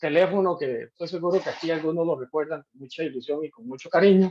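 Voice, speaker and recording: The speaker is a man. He talks at a fairly high pitch. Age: 60s. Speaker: university lecturer. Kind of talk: lecture. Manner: halting, many fillers.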